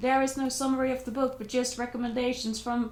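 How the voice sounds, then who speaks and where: A high-pitched woman's voice, monotone and flat, at a fairly quick pace with audible room echo. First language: not English. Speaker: book vlogger. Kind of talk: casual book review vlog. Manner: hesitant, with fillers and restarts.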